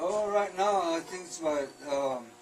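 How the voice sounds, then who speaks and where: Heard with audible room echo and noticeable background noise, a man in an American accent speaks at a high pitch with ordinary pitch variation. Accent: Navajo English. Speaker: silversmith. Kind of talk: casual chat. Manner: halting.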